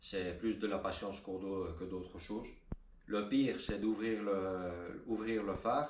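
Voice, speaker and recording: Here a man speaks with a Spanish accent and a fairly low pitch. His pace is very slow, and there is audible room echo. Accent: rusty French, thinks in Spanish. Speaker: car hobbyist youtuber. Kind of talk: tutorial. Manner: halting, many hesitations.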